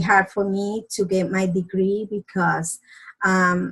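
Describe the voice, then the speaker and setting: Speaking very slowly in a Spanish accent, a woman uses a somewhat breathy voice at a medium pitch. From Dominican Republic. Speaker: doctor. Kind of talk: presentation. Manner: halting.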